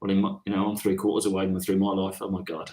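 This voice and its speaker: A man speaks with a Birmingham accent. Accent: Birmingham (Brummie) English. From England, Birmingham. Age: 60s. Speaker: career coach. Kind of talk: casual chat. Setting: live online session.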